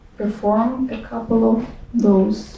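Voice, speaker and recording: A Russian accent, with audible room echo and noticeable background noise. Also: woman. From Russia, Ufa (Bashkortostan). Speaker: poet and dance artist. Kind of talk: talk and poetry reading. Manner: halting, many fillers and restarts.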